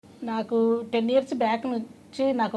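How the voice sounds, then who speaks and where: Her voice is fairly high for a woman, with a dark, mellow tone. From Hyderabad, Telangana, India. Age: 50s. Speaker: patient. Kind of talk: testimony.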